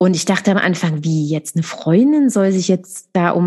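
With a dark, mellow tone that is somewhat breathy, a woman talks at a moderate pace over a quiet background. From Saxony, eastern Germany (Dresden). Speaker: coach for mothers. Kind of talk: interview, personal testimony.

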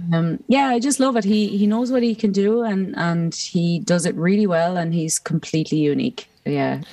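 Woman with an Irish accent, medium pitch, dark, mellow tone, lively intonation, moderate pace and hardly any pauses. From Ireland. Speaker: musician. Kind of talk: casual interview chat. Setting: remote call from home.

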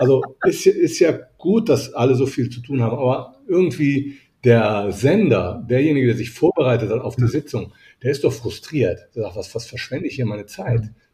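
Medium-pitched male voice, dark, mellow and somewhat breathy, with lively intonation at a moderate pace. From Italy (Rome). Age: 50s. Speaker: business etiquette coach. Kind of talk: interview.

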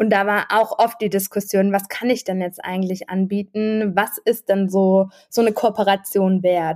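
A flat, monotone delivery at a moderate pace. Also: woman, medium pitch for a woman. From Freiburg, southwestern Germany. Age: 30s. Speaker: project manager and food blogger. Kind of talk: casual interview.

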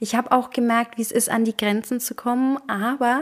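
This is a woman speaking. Her pitch is high. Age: 30s. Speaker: podcast host. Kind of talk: casual monologue. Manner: hesitant, many fillers.

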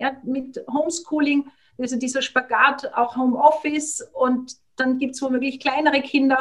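A woman with a high voice talks at a fairly slow pace, her intonation fairly even. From Austria. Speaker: family counselor and former teacher. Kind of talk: interview.

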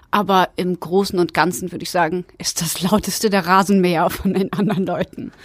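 A woman talks with hardly any pauses. Background noise is noticeable behind her. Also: medium pitch for a woman, fairly even intonation, fairly quick pace. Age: 30s. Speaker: allotment gardener. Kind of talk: interview. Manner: casual, with fillers.

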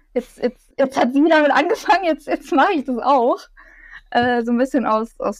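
A woman's high-pitched, lively speech at a moderate pace in a dry, close sound with no echo. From Bavaria, near Munich. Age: 20s. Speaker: cosplayer and student. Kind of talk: interview, casual chat.

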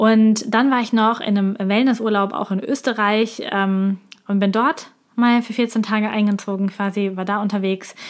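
A woman talks fairly slowly in a medium pitch, her intonation fairly even. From Germany. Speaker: podcast host, business coach. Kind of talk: solo monologue, personal review.

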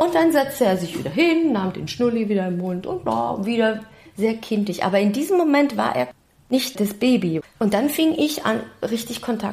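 Against noticeable background noise, a woman speaks at a moderate pace and fairly high pitch with very wide pitch swings. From Germany, Stuttgart. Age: 50s. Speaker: actress and singer. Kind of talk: interview.

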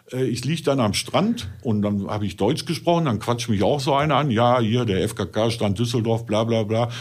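A man talks with a Ruhr accent at a moderate pace. His pitch is medium, with ordinary pitch variation. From Ruhr area, Germany. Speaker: adult film performer. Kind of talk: casual chat.

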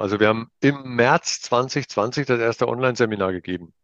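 A man's voice at a medium pitch, at a moderate pace. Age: 50s. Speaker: leadership trainer, business owner. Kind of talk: interview. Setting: video call.

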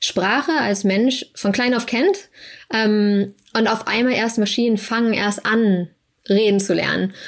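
A woman talks at medium pitch and a moderate pace with ordinary pitch variation, in a normal speaking voice. The recording is very clean, with a silent background. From Germany. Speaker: research scientist. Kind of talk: casual interview.

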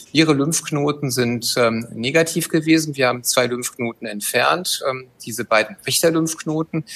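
A man with a normal speaking voice talks at a fairly slow pace with a fairly high pitch, ordinary pitch variation, and hardly any pauses. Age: 50s. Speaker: gynecologist and chief physician. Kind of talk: expert interview.

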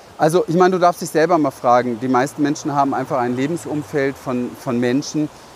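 A man speaks at a fairly quick pace with fairly high pitch. Noticeable background noise runs underneath. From Berlin, Germany. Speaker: business coach. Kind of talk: vlog monologue. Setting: outdoors, walking through a city.

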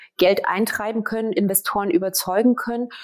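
Her voice is an ordinary speaking voice: a woman at a fairly high pitch with fairly even intonation. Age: 40s. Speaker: startup founder. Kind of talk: interview.

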